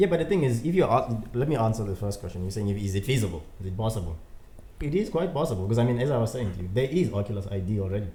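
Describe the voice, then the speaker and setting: With a non-native accent, a man talks at a very fast pace in a medium pitch. Noticeable background noise sits behind him. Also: lively intonation. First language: not English. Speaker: podcast co-host. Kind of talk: casual chat.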